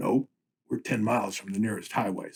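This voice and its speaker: Putting on a raspy character voice, a man talks at a fairly quick pace with medium pitch and fairly even intonation. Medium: read story. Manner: casual, wisecracking.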